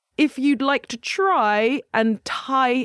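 A woman's high-pitched, fairly bright voice at a slow pace, with ordinary pitch variation and a dry, close sound with no echo.

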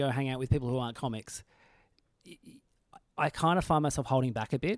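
Recorded very cleanly against a silent background, with a dry, close sound and no echo, a man speaks at a very fast pace. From Tasmania, Australia. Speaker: comedian, podcast host. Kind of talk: casual chat.

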